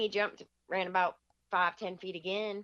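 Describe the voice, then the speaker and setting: A bright, sharp tone in an American accent at a moderate pace. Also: woman. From Michigan. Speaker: deer hunter. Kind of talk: storytelling in casual interview.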